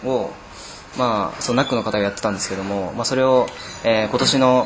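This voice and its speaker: Someone speaks at a fairly quick pace amid noticeable background noise and audible room echo. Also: man. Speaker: student group leader. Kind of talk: interview.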